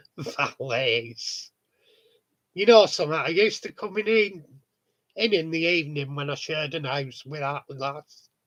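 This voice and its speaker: Against a silent background on a very clean recording, a man with a fairly high voice speaks fairly slowly with long, frequent pauses. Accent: northern English. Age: 50s. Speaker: model railway hobbyist. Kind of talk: casual chat.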